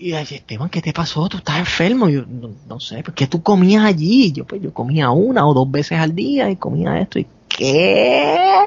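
A man with a Puerto Rican accent talks at a fairly high pitch, his pitch swinging very widely, with hardly any pauses. Noticeable background noise is present. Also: moderate pace. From Puerto Rico. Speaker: podcaster. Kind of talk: casual storytelling.

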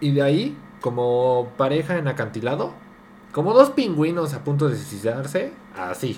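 Pitch swings very widely throughout. The delivery unfolds at a fairly slow speed. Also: man. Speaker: podcast co-host. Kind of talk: casual chat. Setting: home dining room.

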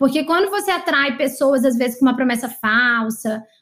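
The woman's pitch sits high and varies in an ordinary way. She talks at a fairly quick pace. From Brazil, Maranhão (São Luís). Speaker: podcast host, marketing coach. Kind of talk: casual group video call. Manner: animated.

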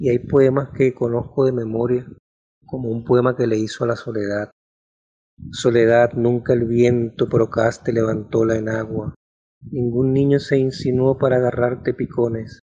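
A man with a medium-pitched, dark, mellow, somewhat breathy voice speaks fairly slowly in a flat monotone. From Venezuela, Maracaibo. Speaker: novelist. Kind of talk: personal storytelling.

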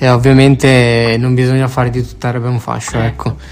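Against noticeable background noise, a man talks at a moderate pace in a medium pitch with monotone, flat intonation. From Italy, raised from infancy by Moroccan parents. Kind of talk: casual interview.

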